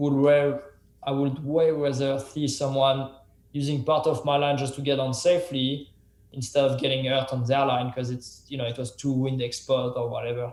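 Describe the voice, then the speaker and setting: Noticeable background noise sits behind a man with a fairly high pitch. He speaks at a moderate pace in a monotone, flat intonation. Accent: French. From France. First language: French. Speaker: professional mountain biker and YouTuber. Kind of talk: podcast interview answers.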